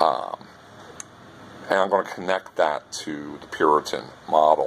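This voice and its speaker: Noticeable background noise behind a man's fairly slow delivery. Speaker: university lecturer. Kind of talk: recorded lecture. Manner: talks like a preacher; casual, many filler words.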